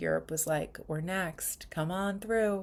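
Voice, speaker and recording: A woman speaks in a New York accent. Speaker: spiritual retreat leader. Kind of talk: casual vlog monologue. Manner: casual with many fillers.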